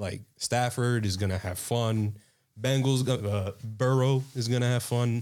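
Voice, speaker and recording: A man's normal speaking voice at medium pitch, fairly even intonation, on a very clean recording with a silent background. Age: 20s. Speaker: college student. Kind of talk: casual chat.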